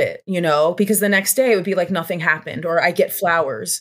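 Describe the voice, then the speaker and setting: With an American accent, a woman speaks in an unremarkable speaking voice at a medium pitch with ordinary pitch variation. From Pennsylvania, Bucks County. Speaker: author and abuse survivor. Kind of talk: interview testimony.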